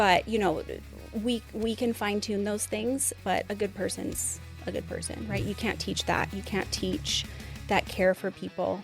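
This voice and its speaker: A woman at a fairly slow pace, with music in the background. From southern Alberta, Canada. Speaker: beauty and medspa business owner. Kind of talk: interview answer. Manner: casual, conversational.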